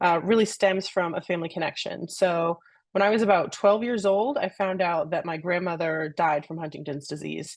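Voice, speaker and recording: A woman with an American accent talks in a plain, everyday voice at a fairly low pitch and moderate pace, with ordinary pitch variation. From US Northeast (New York City). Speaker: research program director, scientist. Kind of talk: panel Q&A, introducing herself.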